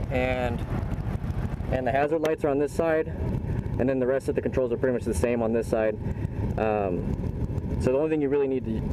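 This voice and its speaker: Background noise is noticeable throughout. The talking goes fairly fast. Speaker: motorcycle vlogger. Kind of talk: casual vlog chat. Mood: excited, upbeat. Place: street. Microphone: phone near.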